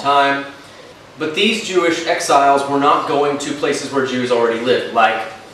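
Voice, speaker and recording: A man's fairly high-pitched voice at a moderate pace, with ordinary pitch variation, audible room echo and noticeable background noise. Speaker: history YouTuber. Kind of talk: casual educational chat while eating. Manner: unscripted, some stumbling over words.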